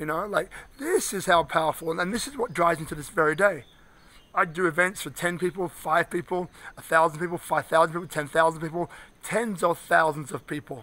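Speaking at a fairly quick pace, a man with a high voice uses ordinary pitch variation, the sound dry with no echo. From London, England. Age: 50s. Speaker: inspirational speaker and coach. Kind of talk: motivational video address. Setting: outdoors. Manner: animated. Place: street. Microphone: phone near.

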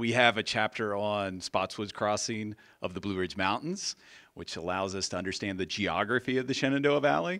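The tone is bright and sharp, with ordinary pitch variation. The background stays quiet. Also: man. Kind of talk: introductory speech. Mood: warm, smiling. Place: hall. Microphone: handheld.

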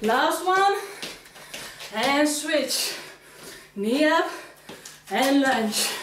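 With lively intonation and a high pitch, a woman speaks at a very slow pace, with audible room echo and light background noise. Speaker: fitness instructor. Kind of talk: workout instruction cues. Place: empty room.

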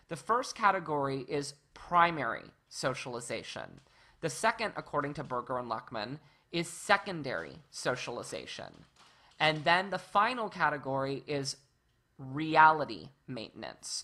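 A woman's very deep, low voice, bright and sharp in tone, with lively intonation over a quiet background. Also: moderate pace. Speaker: university lecturer. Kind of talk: lecture.

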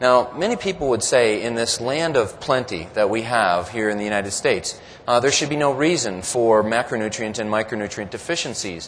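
Light background noise sits behind a man talking at a fairly quick pace. He uses ordinary pitch variation and hardly any pauses. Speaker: presenter. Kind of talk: lecture. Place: hall. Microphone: podium.

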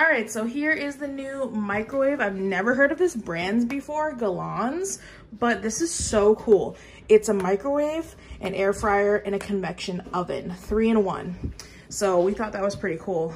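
Lively in intonation, a woman speaks over light background noise. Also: moderate pace. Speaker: vlogger. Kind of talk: casual vlog chat. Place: kitchen. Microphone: phone near.

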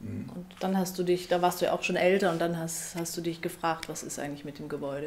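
Light background noise sits behind a woman's fairly low voice. She keeps a fairly quick pace and fairly even intonation. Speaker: radio and TV author and presenter. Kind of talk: interview questions. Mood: calm, attentive, gentle. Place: home room.

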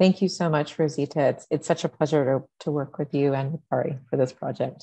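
A woman with a very deep, low pitch speaks with vocal fry against a quiet background. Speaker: art museum curator. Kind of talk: moderated interview. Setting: art gallery. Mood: warm, appreciative. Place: home room. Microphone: earbuds.

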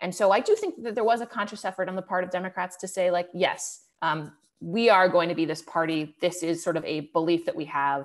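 Speech moves at a fairly quick pace with hardly any pauses, ordinary pitch variation, and a quiet background. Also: woman. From Cleveland, Ohio; Ohio. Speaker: political journalist. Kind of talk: webinar interview. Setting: online webinar. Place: home room. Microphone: earbuds.

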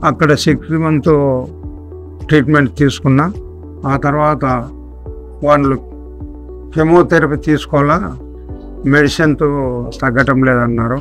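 The voice holds a very even loudness with ordinary pitch variation, faint music playing behind it. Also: man, fairly high pitch for a man. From Nandyal, Kurnool district, Andhra Pradesh, India. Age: 70s. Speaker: retired army man, cancer patient. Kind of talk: patient testimonial. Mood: calm, matter-of-fact.

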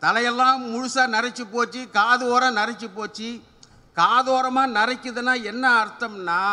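Extremely high-pitched male voice, raised and projected, bright and sharp in tone, with fairly even intonation. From Tamil Nadu. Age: 70s. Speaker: humour speaker; speaker. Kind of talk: stand-up. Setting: stage with audience. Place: open country. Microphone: podium.

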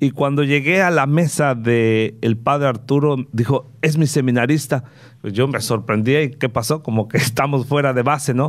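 At a moderate pace, a man talks with fairly even intonation and very even loudness against a quiet background. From Veracruz, Mexico. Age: 50s. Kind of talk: interview. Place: studio. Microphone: studio mic.

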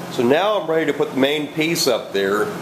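The man keeps a fairly quick pace while noticeable background noise plays behind him. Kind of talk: casual how-to narration. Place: garage. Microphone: phone near.

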